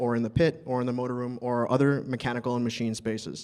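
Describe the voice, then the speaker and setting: With an American accent, a man speaks at a fairly quick pace. His pitch sits in the medium range. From New York City. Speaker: elevator mechanic. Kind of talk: conference talk. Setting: stage with audience.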